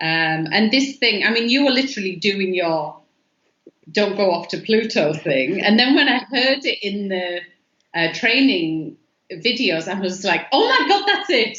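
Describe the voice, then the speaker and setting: Speaking with an English accent, a woman with a medium pitch talks at a fairly slow pace with lively intonation. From England. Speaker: artist. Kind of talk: interview.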